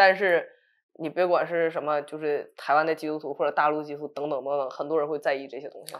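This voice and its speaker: A woman's very deep, low voice, very fast and monotone, with big swings in loudness over a quiet background. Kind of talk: casual talk show discussion. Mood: earnest, encouraging. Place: studio.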